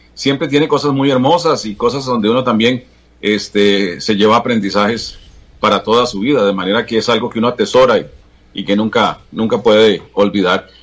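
A man with an ordinary speaking voice, moderate pace and ordinary pitch variation. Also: medium pitch for a man. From Costa Rica, Alajuela province (Atenas, Santa Bárbara). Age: 60s. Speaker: veteran TV journalist. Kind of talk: interview about his life.

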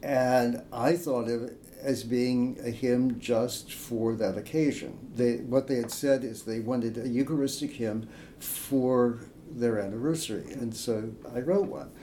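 In a room with audible echo, a man speaks slowly at a medium pitch with fairly even intonation. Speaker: hymn writer and priest. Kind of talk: interview. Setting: in person. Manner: halting.

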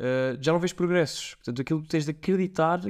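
A man's voice with ordinary pitch variation. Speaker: amateur triathlete. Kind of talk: casual chat.

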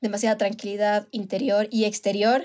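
Her tone dark and mellow, a woman speaks at a fairly high pitch in a flat, monotone way. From Ecuador, Manabí. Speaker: podcast co-host. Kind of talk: casual chat. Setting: recorded remotely, separately.

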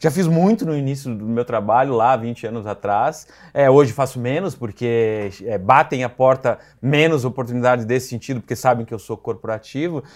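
A man with an unremarkable speaking voice, at a moderate pace, with ordinary pitch variation. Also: medium pitch for a man, very clean recording, silent background. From Rio Grande do Sul, Brazil (city of Rio Grande). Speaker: PR agency founder, journalist. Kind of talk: casual interview.

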